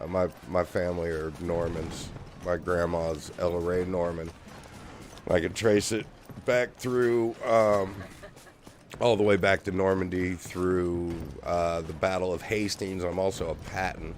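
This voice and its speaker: The man's voice is very deep and low, with fairly even intonation. He goes at a fairly slow pace over noticeable background noise. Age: 50s. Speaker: streamer and musician. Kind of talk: casual gaming livestream chat. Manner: casual, full of filler words.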